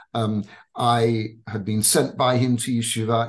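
A man's medium-pitched voice with an English accent. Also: quiet background. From England. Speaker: rabbi. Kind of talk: interview.

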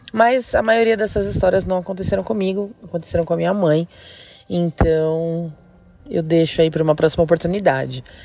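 A dark, mellow voice moves at a fairly quick pace with ordinary pitch variation. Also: woman, fairly low pitch for a woman. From interior of São Paulo state, Brazil. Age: 30s. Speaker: listener sharing a paranormal story. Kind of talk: personal storytelling.

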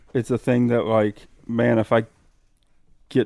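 At a moderate pace, a man with a medium-pitched, dark, mellow voice speaks with fairly even intonation in a dry, close sound with no echo and a very clean recording with a silent background. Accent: American. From US Midwest. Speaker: hunter. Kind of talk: casual chat. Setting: outdoors at hunting camp.

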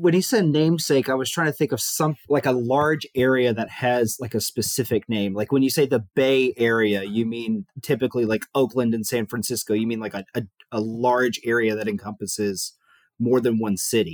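The sound is dry and close with no echo as a man speaks at a medium pitch, moderate pace and ordinary pitch variation. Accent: Southern US. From Huntsville, Alabama. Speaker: aerospace engineer, quiz contestant. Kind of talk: casual chat.

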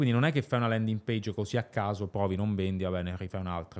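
A man rattles through his words at a very fast pace, his pitch varying in an ordinary way. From Luxembourg. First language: German (speaking Italian). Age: 20s. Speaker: entrepreneur. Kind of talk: interview.

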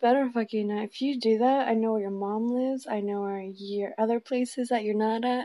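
A woman's fairly high voice at a fairly quick pace, fairly even in intonation with hardly any pauses, in a plain, everyday voice. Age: 30s. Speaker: host's girlfriend. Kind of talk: casual chat.

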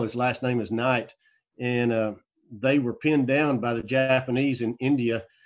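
Over a quiet background, a man with a plain, everyday voice talks at a moderate pace, medium pitch and fairly even intonation. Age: 50s. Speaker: actor and filmmaker. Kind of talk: casual chat.

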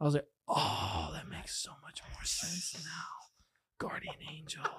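A man speaks in an animated tone that comes across as somewhat breathy. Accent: American. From Texas. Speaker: pilot and former college football and rugby player. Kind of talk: casual chat.

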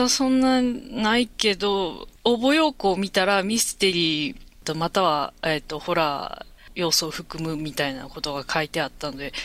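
On a very clean recording with a silent background, a woman speaks at a medium pitch and moderate pace with very wide pitch swings. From Osaka, Japan. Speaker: novelist. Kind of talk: casual interview chat. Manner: hesitant, many fillers.

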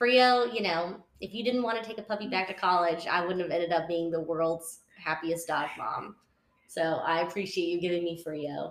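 With a Texan accent, a woman talks at a moderate pace in a fairly low pitch with ordinary pitch variation. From West Texas. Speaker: association events director. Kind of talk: casual interview chat.

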